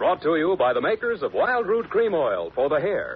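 A man speaks at a moderate pace in an upbeat tone. Noticeable background noise runs behind him. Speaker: radio announcer. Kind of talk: scripted radio commercial announcing, sponsor pitch. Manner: brisk, polished, upbeat, formal announcer.

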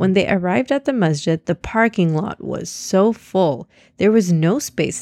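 The pitch varies in an ordinary way. The speaker uses a natural reading voice.

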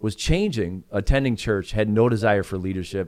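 A man with an American accent speaks at a moderate pace and fairly low pitch in an ordinary speaking voice. The recording is very clean, with a silent background. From Chicago suburbs. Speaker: founding pastor. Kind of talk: casual chat.

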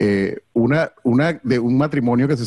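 A man at a medium pitch and fairly slow pace, with ordinary pitch variation and a dry, close sound with no echo. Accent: Venezuelan. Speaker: comedy event host. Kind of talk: casual chat.

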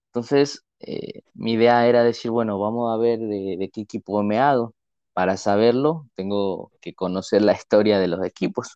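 A man speaks at a moderate pace and medium pitch, his tone dark and mellow. The sound is dry and close with no echo, over a quiet background. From Ecuador. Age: 20s. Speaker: civil engineer and football fan. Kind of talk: casual podcast chat.

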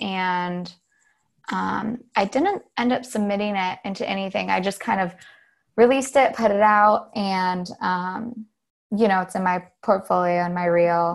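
An ordinary speaking voice from a woman, medium in pitch, with fairly even intonation at a fairly slow pace. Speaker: artist and filmmaker. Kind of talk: casual interview.

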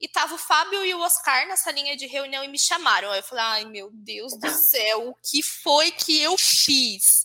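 Raised and projected, a woman's high, bright, sharp voice moves at a fairly slow pace with lively intonation and hardly any pauses. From Brazil, Santa Isabel (São Paulo state). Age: 20s. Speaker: social media content lead. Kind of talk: casual interview.

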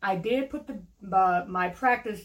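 A woman with an American accent speaks at a medium pitch with ordinary pitch variation. Her voice is somewhat breathy. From US Midwest (Cleveland, Ohio). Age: 40s. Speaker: lawyer. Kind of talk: casual interview.

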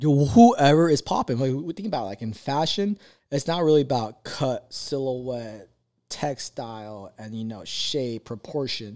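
Speaking at a moderate pace with lively intonation, a man with a medium pitch and a dark, mellow tone is captured on a very clean recording with a silent background. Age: 20s. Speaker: podcast co-host. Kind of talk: casual chat. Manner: animated.

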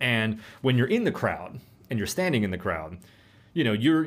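An unremarkable speaking voice from a man, fairly quick in pace with lively intonation. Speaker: manager and co-host. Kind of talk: casual chat.

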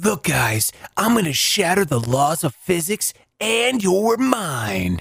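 A man adopts a put-on character voice, pitched high and delivered at a fairly slow pace. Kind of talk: theatrical patter. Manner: grandiose, showy.

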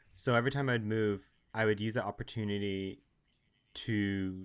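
The recording is very clean, with a silent background. A man with a fairly low pitch speaks at a moderate pace with fairly even intonation. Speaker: guest. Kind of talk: casual interview chat.

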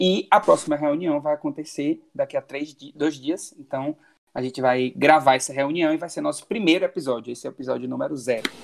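A man talks at a fairly quick pace in a fairly high pitch, with ordinary pitch variation. His is an unremarkable speaking voice, with big swings in loudness. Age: 20s. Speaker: podcast host. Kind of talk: casual chat, podcast intro. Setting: remote recording, distance call.

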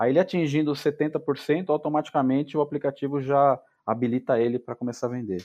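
A man speaks at a fairly quick pace with a dark, mellow tone and a fairly high pitch. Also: ordinary pitch variation. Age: 40s. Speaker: travel and cycling startup founder. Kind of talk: casual interview.

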